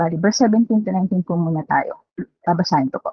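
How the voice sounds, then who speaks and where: A woman's shaky, somewhat breathy voice at a medium pitch, with ordinary pitch variation. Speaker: lay preacher. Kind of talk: sermon. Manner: shaky voice; halting.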